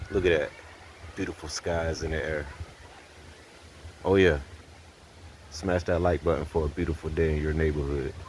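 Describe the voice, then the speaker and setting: A man speaks in a very deep, low voice with a flat, monotone delivery. Long pauses come often, and background noise is noticeable. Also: moderate pace. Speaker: motorized bicycle mechanic vlogger. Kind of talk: casual how-to vlog. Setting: outdoors. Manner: casual, halting.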